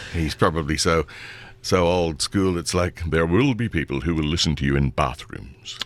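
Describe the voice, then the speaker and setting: A man with a very deep, low pitch at a moderate pace. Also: ordinary pitch variation. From Australia. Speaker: voice actor. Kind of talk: radio interview answer. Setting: radio studio.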